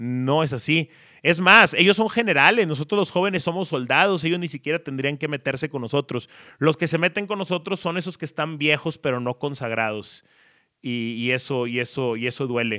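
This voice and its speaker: Here a man speaks with a fairly high pitch and a bright, sharp tone. His intonation is lively and his pace moderate. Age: 30s. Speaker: sports journalist and podcaster. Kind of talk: storytelling monologue.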